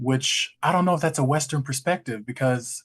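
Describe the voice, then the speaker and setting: A man speaks in a Southern US accent at a medium pitch. His voice is somewhat breathy. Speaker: graduate student. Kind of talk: class discussion. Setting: classroom.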